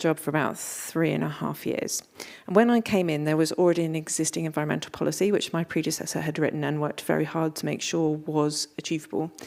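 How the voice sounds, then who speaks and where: A woman speaks at a very fast pace with hardly any pauses. Her pitch is very deep and low. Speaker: environmental manager at an arts organisation. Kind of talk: conference presentation.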